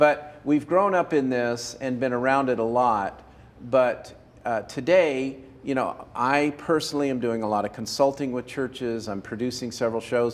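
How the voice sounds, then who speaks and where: An ordinary speaking voice from a man, medium in pitch, at a moderate pace with ordinary pitch variation. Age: 60s. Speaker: video production consultant. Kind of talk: casual chat.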